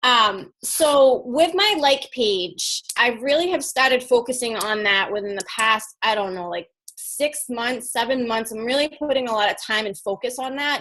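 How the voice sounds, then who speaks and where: A woman's high, animated voice with lively intonation and hardly any pauses. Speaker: fitness coach. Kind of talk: team call presentation. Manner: fast.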